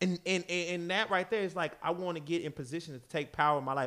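Here a man talks with an American accent. His pace is very fast. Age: 30s. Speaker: podcast co-host, businessman. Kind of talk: casual chat. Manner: animated.

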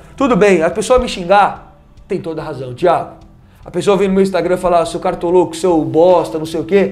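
This man's pitch is high, with ordinary variation, and he talks at a moderate pace. Noticeable background noise and audible room echo fill the recording. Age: 20s. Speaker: former TV sports reporter. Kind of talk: casual interview. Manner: halting, repetitive.

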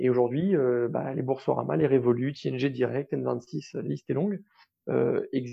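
At a fairly slow pace, a man talks at medium pitch with lively intonation. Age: 30s. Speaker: startup co-founder. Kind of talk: interview. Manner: hesitant, many repetitions.

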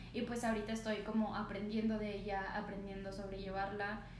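Audible room echo and noticeable background noise around a woman's fairly high-pitched voice. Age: 20s. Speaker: podcast co-host. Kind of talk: casual chat. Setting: no studio, ambient sounds.

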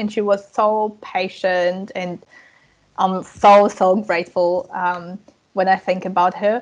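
Speech in an Eastern European accent moves at a fairly slow pace. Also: woman. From Ukraine. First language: Russian and Ukrainian. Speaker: language coach. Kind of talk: casual interview. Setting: remote call from New Zealand.

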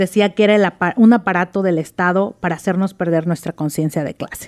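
This woman speaks with a Mexican accent. The sound is dry and close, with no echo. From Mexico, Oaxaca. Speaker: writer and former lawyer. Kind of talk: reading aloud her own story; interview.

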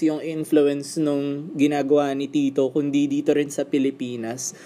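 Delivery is fairly slow. A dark, mellow tone colors it. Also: man. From Philippines. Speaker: podcast host, tattoo artist. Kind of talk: casual interview.

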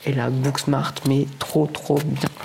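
A man's monotone, flat intonation comes through noticeable background noise. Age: 20s. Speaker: podcaster. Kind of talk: solo casual talk. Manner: halting.

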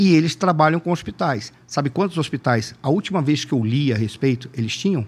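Hardly pausing, a man speaks at a fairly quick pace with a fairly high, somewhat breathy voice and lively intonation, in a very clean recording with a silent background. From Manaus, Brazil. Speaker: political analyst. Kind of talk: casual interview.

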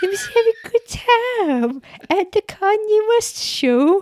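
A female-sounding voice performs a put-on character voice at an extremely high pitch. The delivery is fairly slow. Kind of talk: calm, smooth, measured. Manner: mellow.

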